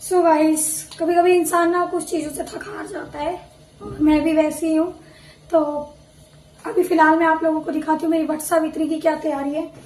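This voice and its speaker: Amid noticeable background noise and audible room echo, a woman with an extremely high voice speaks at a moderate pace in a flat monotone, with long, frequent pauses and big swings in loudness. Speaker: vlogger. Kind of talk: casual vlog talk. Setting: at home.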